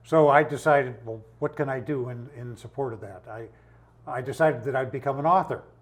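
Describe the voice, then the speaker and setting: A somewhat breathy man at a fairly quick pace, with ordinary pitch variation and big swings in loudness. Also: medium pitch for a man, quiet background. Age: 80s+. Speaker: indie filmmaker and self-published author. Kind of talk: interview. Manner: halting.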